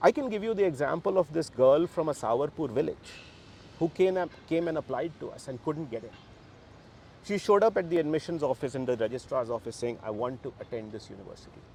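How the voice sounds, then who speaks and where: A man with a Bihar accent and fairly high pitch, very fast, with lively intonation and big swings in loudness. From Bihar, India. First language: Bhojpuri. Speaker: university co-founder. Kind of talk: interview. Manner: animated.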